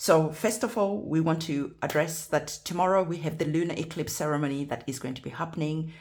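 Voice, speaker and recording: Somewhat breathy and very deep, low in pitch, a woman talks at a fairly quick pace. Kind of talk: tarot reading. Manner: stuttering.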